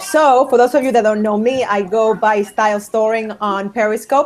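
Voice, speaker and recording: With music in the background, a woman speaks in a fairly high pitch with ordinary pitch variation. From outside English-speaking countries. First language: not English. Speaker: author, style consultant. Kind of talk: live stream interview. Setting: live stream broadcast.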